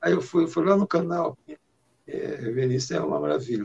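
A man's voice with a dry, close sound and no echo. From Maranhão, Brazil (rural interior). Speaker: singer-songwriter. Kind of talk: interview.

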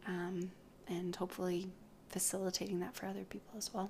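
This woman talks with a Western Canadian accent. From British Columbia, Canada. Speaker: podcast co-host, speech language pathologist. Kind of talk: casual chat.

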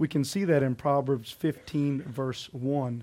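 The voice belongs to a man. It is pitched fairly high. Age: 20s. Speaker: pastor. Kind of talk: sermon. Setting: church. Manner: animated.

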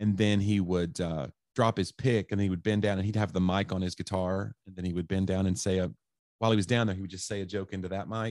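A man with a Southern US accent talks very fast in a very deep, low voice, his intonation fairly even. The sound is dry and close with no echo, over a quiet background. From East Tennessee. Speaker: stand-up comedian. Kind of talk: casual chat.

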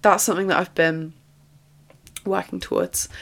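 A woman speaks at a moderate pace with a fairly low pitch and vocal fry. Her tone is fairly bright and her intonation fairly even.

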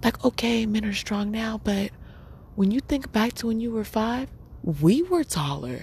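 This woman speaks at a fairly slow pace with lively intonation. Her voice is fairly high and somewhat breathy. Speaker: podcast host. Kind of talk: casual monologue. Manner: laid-back, laughing.

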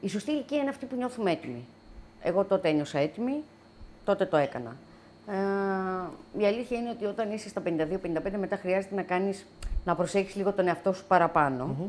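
A woman speaks fairly quickly at medium pitch with lively intonation, leaving long, frequent pauses. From Greece, Athens (born near Lamia). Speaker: wine bistro owner, single adoptive mother. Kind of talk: casual interview. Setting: home.

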